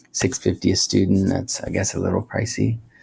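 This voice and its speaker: The speech has fairly even intonation and a somewhat breathy quality. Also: man. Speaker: teacher reviewing educational websites. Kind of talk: screen-recorded review narration. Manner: monotone; loudness drops then rises again in cycles.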